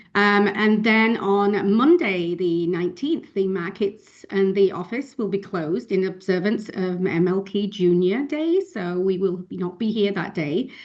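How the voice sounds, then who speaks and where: Speaking with a British accent at medium pitch, a woman keeps a fairly slow pace with ordinary pitch variation and hardly any pauses. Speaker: office staff at financial firm. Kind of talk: office announcements. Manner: hesitant, many fillers.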